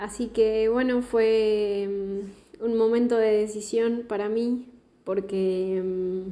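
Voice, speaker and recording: A woman with a dark, mellow tone and fairly high pitch speaks very slowly in a monotone, flat delivery. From southern Patagonia, Argentina (Chubut). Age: 20s. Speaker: podcast contributor sending a voice message. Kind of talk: recorded voice testimony.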